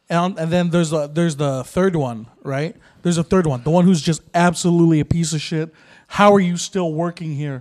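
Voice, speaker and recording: A man speaks at a fairly quick pace. His voice is high-pitched. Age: 30s. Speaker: chef and podcast co-host. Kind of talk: casual chat. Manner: animated.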